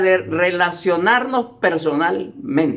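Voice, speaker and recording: A man talks with lively intonation. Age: 70s. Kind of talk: sermon-style lecture.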